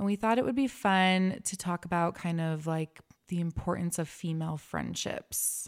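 In a very clean recording with a silent background and a dry, close sound with no echo, a woman with an ordinary speaking voice talks at a moderate pace, her pitch fairly low and its variation ordinary. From Utah. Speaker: podcast host, stay-at-home mom, former esthetician. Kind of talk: casual chat.

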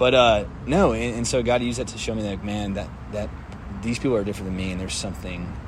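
There is audible room echo as a man with an American accent talks at a very fast pace, his pitch fairly low with ordinary variation. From Texas, Dallas. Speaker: podcast co-host. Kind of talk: casual chat.

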